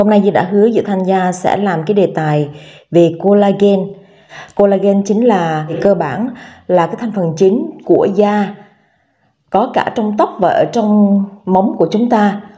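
Her voice dark and mellow with a somewhat breathy quality, a woman talks at a fairly slow pace with ordinary pitch variation and long, frequent pauses. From Vietnam. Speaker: beauty vlogger; lifestyle vlogger. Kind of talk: vlog tutorial. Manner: casual, filler-heavy. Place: home room.

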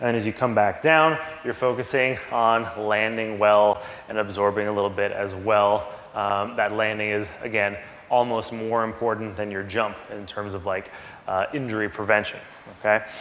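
A man's fairly low voice at a moderate pace, with fairly even intonation, audible room echo and light background noise. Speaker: fitness coach. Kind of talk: tutorial. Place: gym. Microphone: camera far.

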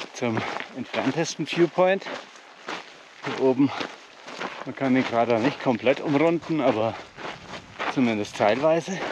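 In a dry recording with no echo but noticeable background noise, a man speaks at a fairly slow pace with long, frequent pauses. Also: ordinary pitch variation. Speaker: hiking vlogger. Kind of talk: casual vlog chat. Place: open country. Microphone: phone near.

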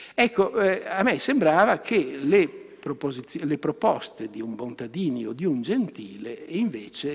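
A man talks at a very slow pace with lively intonation. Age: 70s. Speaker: philosophy professor; conference speaker, professor. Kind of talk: academic lecture. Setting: conference hall. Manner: hesitant. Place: hall. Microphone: podium.

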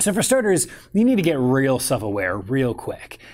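The man's intonation is lively, and his pace is moderate. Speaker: photography business coach. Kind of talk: casual advice talk to camera. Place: home room.

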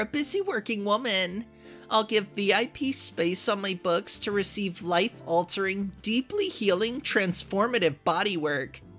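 Music plays in the background. A woman talks at a fairly slow pace. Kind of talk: reading a post aloud, character voice.

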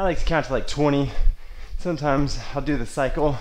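A man speaks with ordinary pitch variation at a moderate pace. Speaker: fitness instructor. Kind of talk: tutorial. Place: garage. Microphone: camera far.

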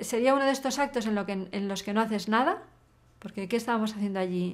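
A woman is talking. Her pitch shifts in an ordinary way. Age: 50s. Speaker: hacker and activist; interviewee. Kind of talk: interview. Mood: reflective, thoughtful. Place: studio.

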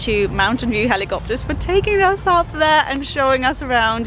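A woman speaks over clear music in the background. The sound is dry, with no echo. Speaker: travel vlogger. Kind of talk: casual vlog chat. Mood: excited, happy. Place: open country. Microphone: phone near.

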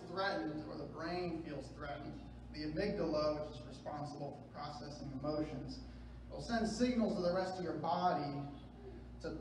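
A man speaks with audible room echo and light background noise behind him. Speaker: preacher. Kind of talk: sermon. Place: church.

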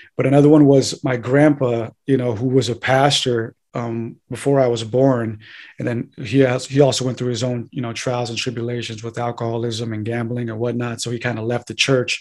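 A man talking at a fairly quick pace in a monotone, flat intonation, against a quiet background. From north San Diego County, California. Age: 20s. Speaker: occult and theology researcher; podcast guest. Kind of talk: casual interview chat. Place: home room. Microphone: studio mic.

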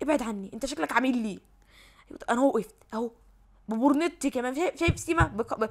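A woman with an Egyptian accent speaks at a high pitch in an animated tone, with lively intonation and long, frequent pauses. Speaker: gaming YouTuber. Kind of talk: live gameplay commentary. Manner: fast.

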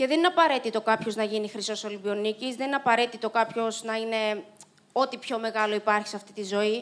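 Speaking at a fairly quick pace, a woman uses a fairly high pitch and fairly even intonation. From Cyprus. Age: 30s. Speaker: Paralympic swimmer and motivational speaker; speaker. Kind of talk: inspirational talk. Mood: reflective, earnest. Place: stage. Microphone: handheld.

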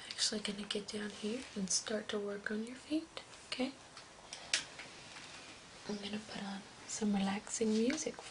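Over noticeable background noise, the speech moves at a moderate pace, broken by long, frequent pauses. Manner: soft, hushed spa-therapist voice. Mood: calm, relaxing.

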